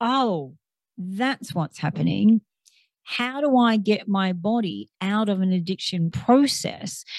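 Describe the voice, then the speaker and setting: A woman at medium pitch speaks very slowly with lively intonation. Her voice is somewhat breathy, and the sound is dry and close with no echo. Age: 50s. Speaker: clinical psychotherapist. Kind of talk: interview.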